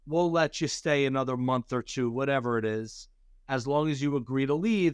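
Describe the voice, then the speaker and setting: With ordinary pitch variation and a medium pitch, a man talks in front of a quiet background. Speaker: real estate attorney. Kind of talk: webinar interview. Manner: fast.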